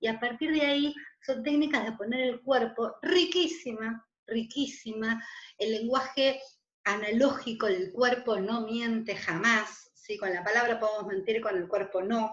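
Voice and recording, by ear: Slow-ish and fairly high in pitch, a woman's voice comes through with audible room echo. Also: ordinary pitch variation.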